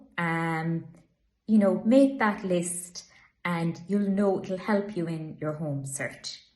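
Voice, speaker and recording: The woman's pitch is fairly low and her voice somewhat breathy. She speaks at a fairly slow pace with lively intonation. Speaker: estate agent. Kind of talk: informational talk to camera. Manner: casual, conversational.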